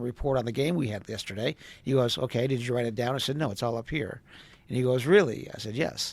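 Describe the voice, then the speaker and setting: With an American accent, a man speaks at a very fast pace, his pitch medium and varying in an ordinary way. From US Midwest, Wisconsin. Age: 60s. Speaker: travel industry professional and social media personality. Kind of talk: casual interview.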